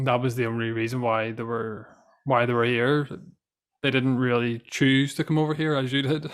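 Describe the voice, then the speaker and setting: A man at medium pitch in a Northern Irish accent, with a moderate pace and fairly even intonation. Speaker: podcast host. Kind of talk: casual chat.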